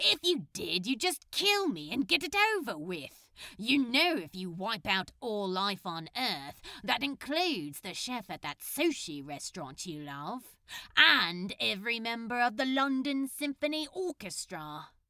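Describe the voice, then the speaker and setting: A put-on character voice that sounds female drawls at a moderate pace, pitched fairly high with very wide pitch swings. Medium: read story. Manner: casual, sarcastic, drawling.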